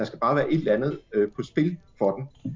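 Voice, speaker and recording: A man is speaking. His voice is somewhat breathy. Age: 40s. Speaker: journalist and editor. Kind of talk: casual chat. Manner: hesitant, many fillers.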